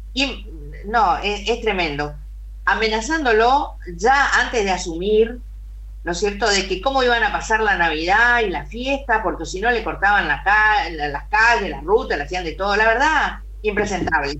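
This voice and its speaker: A woman speaks at a fairly slow pace. Audible room echo and noticeable background noise are present. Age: 60s. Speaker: politician. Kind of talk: radio interview. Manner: emphatic.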